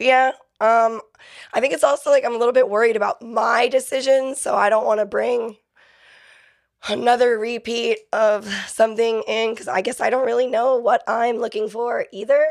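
Here a woman with an American accent talks at a moderate pace in a fairly high pitch. Her intonation is fairly even, and hers is an unremarkable speaking voice. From Florida (Fort Myers and Inglewood area). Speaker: exotic dancer. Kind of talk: casual interview chat. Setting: studio.

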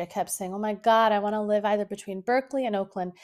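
Recorded very cleanly against a silent background, a woman speaks at medium pitch. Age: 30s. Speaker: podcast host. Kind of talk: casual solo monologue.

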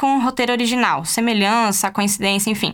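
A woman speaks at a high pitch. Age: 20s. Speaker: podcast host. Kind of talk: casual commentary monologue. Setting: studio.

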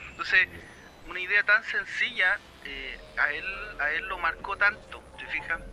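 A man's high pitch in a Chilean accent, at a fairly slow pace with long, frequent pauses, ordinary pitch variation, big swings in loudness and noticeable background noise. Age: 40s. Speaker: percussionist. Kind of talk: casual chat.

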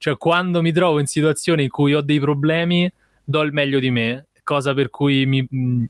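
A plain, everyday voice from a man, fairly even intonation at a moderate pace, dry and close with no echo. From Rome, Italy. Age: 20s. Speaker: videomaker. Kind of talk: casual interview.

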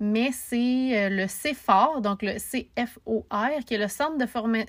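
A woman speaks with a Quebec accent. Her fairly high pitch shows ordinary pitch variation. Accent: Québécois French. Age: 20s. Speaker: podcaster. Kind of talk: casual monologue.

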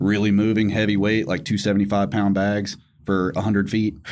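Speaking with a Southern US accent, a man uses a fairly low pitch and fairly even intonation. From Tennessee. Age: 30s. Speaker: strongman athlete and ex-Marine. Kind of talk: casual chat.

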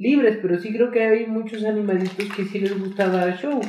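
Noticeable background noise and audible room echo surround a man speaking with a Mexican accent. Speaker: podcast co-host. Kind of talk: casual chat.

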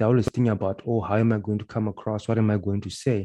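A man's fairly low, dark and mellow voice at a fairly quick pace, fairly even intonation, quiet background. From Zimbabwe. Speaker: body language and mindset coach. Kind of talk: interview. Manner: frequent filler 'uh' hesitations.

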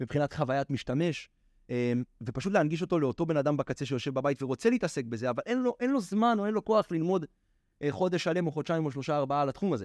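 Very wide pitch swings mark this man's fairly high voice as he talks at a very fast pace, with a dry, close sound free of echo and a quiet background. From Israel. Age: 20s. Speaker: NFT trader and lecturer. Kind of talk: casual interview.

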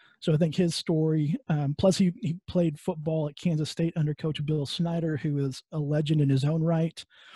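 With a West Texas accent, a man talks at a moderate pace and a fairly high pitch, his tone dark and mellow, his intonation fairly even, with hardly any pauses and a dry, close sound with no echo. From West Texas (Midland). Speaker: podcast host and HR consultant. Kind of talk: interview. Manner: hesitant, many fillers.

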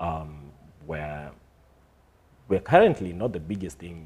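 A man with a very deep, low pitch speaks somewhat breathily at a fairly slow pace. His intonation is fairly even, with big swings in loudness and long, frequent pauses. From Kenya (Timau, Meru area). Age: 20s. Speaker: writer, actor and director. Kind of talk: casual chat. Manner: halting.

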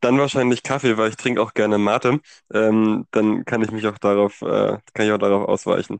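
In a dry, close sound with no echo, a man speaks at a moderate pace with monotone, flat intonation. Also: fairly low pitch for a man. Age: 20s. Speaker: chair of a church youth leadership team. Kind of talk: casual interview. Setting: at home.

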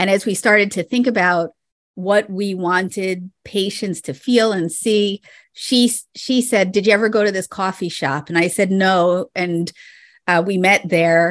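The speech comes at a fairly slow pace with fairly even intonation. The sound is dry and close with no echo, and the background is quiet. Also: woman, medium pitch for a woman. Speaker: optometrist and practice consultant. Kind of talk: interview conversation. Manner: soft-spoken.

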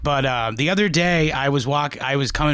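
A man speaks at a moderate pace in a bright, sharp tone with ordinary pitch variation. The recording is very clean, with a silent background. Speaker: podcast host. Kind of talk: casual banter about history. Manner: jokey, casual.

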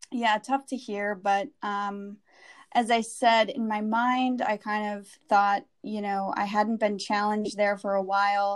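Speaking very slowly in an American accent, a woman keeps a fairly high pitch and a monotone, flat intonation. The recording is very clean, with a silent background. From US Midwest, Wisconsin. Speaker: advertising professional. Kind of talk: personal story interview.

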